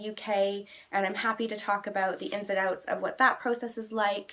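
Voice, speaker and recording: A woman talks at a moderate pace with medium pitch. Her tone is bright and sharp, her intonation fairly even. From Canada. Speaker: vlogger. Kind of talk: casual vlog monologue; reading a word list. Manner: frequent filler ums.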